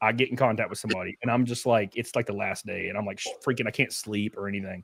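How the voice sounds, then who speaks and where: This man talks at a very fast pace with an American accent. The recording is very clean, with a silent background. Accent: redneck. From Alabama, US South. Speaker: race car driver. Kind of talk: casual chat.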